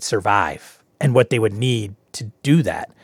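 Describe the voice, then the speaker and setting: Over a very clean recording with a silent background, a man with an ordinary speaking voice talks at a fairly slow pace with ordinary pitch variation. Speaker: podcast host and game master. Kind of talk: solo podcast intro and show pitch. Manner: informal, conversational, self-deprecating.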